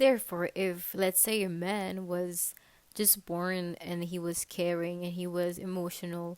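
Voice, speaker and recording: The speaker here is a woman. Her words come with a non-native accent. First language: not English. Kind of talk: casual video essay to camera.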